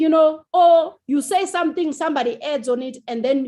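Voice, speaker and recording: The intonation here is lively. It belongs to a woman. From South Africa. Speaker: TV writer and producer. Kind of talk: interview. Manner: loud; animated.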